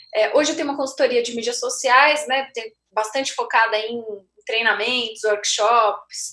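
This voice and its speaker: A woman speaks at a fairly high pitch with a bright, sharp tone. Her pace is moderate. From interior of São Paulo state, Brazil. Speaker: communications consultant and professor. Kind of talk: webinar presentation. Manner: hesitant, many fillers.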